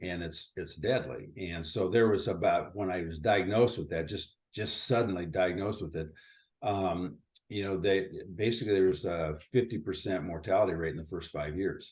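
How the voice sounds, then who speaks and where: This man's voice sits very deep and low, with ordinary pitch variation. It comes across somewhat breathy. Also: moderate pace. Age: 60s. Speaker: retired company founder. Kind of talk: interview.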